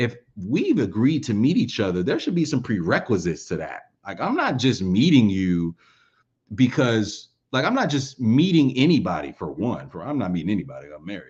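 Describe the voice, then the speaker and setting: Over a quiet background, a man with vocal fry and medium pitch talks at a moderate pace, with very wide pitch swings and big swings in loudness. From Alabama. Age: 20s. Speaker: commentary YouTuber. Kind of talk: casual commentary monologue. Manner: conversational, addressing viewers.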